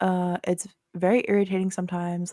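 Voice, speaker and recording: A soft-spoken woman with a dark, mellow tone and medium pitch is heard in a dry, close recording with no echo, very clean and with a silent background. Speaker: podcast co-host, graphic designer. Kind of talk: casual chat. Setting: podcast recording.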